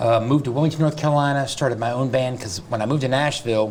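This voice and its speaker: A medium-pitched male voice with an American accent. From US South. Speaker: real estate agent and coach. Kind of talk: interview. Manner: fast.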